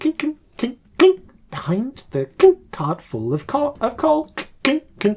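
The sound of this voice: In a put-on, squeaky character voice, the speaker talks at a fairly high pitch and a fairly slow pace, with long, frequent pauses.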